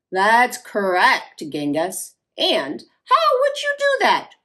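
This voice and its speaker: A female-sounding, put-on character voice speaks at a very slow pace. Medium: read story. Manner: instructive, bossy.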